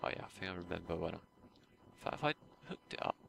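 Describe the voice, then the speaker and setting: A man talks quietly at a very fast pace. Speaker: gaming YouTuber. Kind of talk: gameplay commentary. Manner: hesitant, many fillers.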